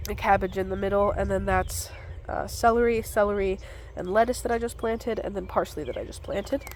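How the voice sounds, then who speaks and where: A woman speaks over noticeable background noise. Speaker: gardening vlogger. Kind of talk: garden tour walkthrough. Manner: casual, with filler words.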